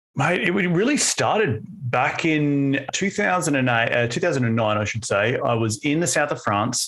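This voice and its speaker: A man speaks with an Australian accent at a moderate pace. His tone is bright and sharp. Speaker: podcast host and author. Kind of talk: podcast interview.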